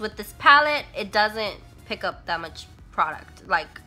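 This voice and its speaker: Speech moves at a fairly slow pace over music in the background. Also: woman. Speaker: beauty vlogger. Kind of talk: makeup review talk to camera.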